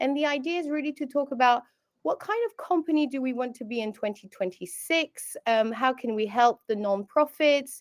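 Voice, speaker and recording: A woman's high-pitched voice with a British accent, lively intonation and moderate pace, in a dry, close sound with no echo. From France and England. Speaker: webinar host, customer success manager. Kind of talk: webinar moderation.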